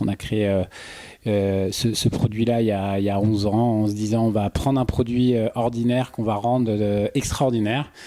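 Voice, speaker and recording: Speaking at a moderate pace, a man has a medium pitch, a dark, mellow tone and fairly even intonation in a very clean recording with a silent background. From Paris suburbs, France. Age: 30s. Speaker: entrepreneur. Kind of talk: podcast interview. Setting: at guest's home. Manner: hesitant, many fillers.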